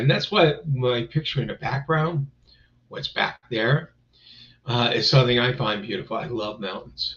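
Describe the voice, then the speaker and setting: A man talks at a moderate pace with a medium pitch. His voice is somewhat breathy, with ordinary pitch variation. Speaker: live-stream host. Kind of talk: casual live-stream talk. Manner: rambling, filler-heavy.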